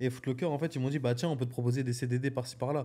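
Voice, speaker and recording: This man has a dark, mellow tone at a medium pitch. He talks at a very fast pace with monotone, flat intonation. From northern France, Dunkirk. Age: 20s. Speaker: entrepreneur. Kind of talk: casual chat.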